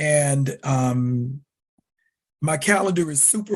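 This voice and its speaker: A man with a Southern US accent and ordinary pitch variation. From US South. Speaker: leather community writer and educator. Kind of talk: podcast interview. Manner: loud; animated.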